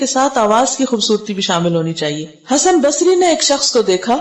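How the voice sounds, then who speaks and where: High pitch marks this voice. The speaker is a woman. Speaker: Islamic scholar giving a lecture. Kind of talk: Quran lecture (tafsir-style bayan).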